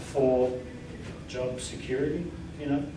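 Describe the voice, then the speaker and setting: Speech in an Australian accent comes at a moderate pace, with audible room echo and noticeable background noise. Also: man. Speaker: workplace stress trainer. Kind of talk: training workshop presentation. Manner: conversational.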